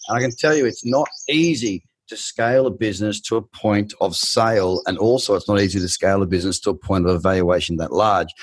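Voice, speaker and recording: Over a quiet background, a man with an Australian accent talks very fast in an animated tone, his fairly low voice showing ordinary pitch variation. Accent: thick Australian. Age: 20s. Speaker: podcast host and trader. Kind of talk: interview.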